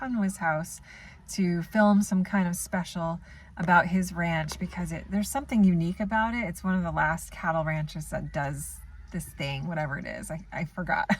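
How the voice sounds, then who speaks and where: A woman's fairly low, somewhat breathy voice in a northern US accent at a fairly quick pace, on a very clean recording with a silent background. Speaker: book vlogger. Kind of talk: casual reading vlog. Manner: casual, with filler words.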